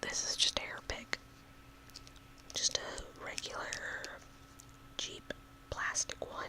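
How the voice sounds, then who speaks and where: A whispering voice in a relaxed tone moves at a very slow pace, with long, frequent pauses and noticeable background noise. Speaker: ASMR video creator. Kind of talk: ASMR whisper rambling with sounds. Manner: whispered, relaxed.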